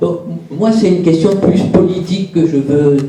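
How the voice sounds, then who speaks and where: Noticeable background noise and audible room echo surround a man speaking at a high pitch. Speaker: audience member asking a question. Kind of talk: audience question. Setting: conference room with audience. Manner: halting, many fillers.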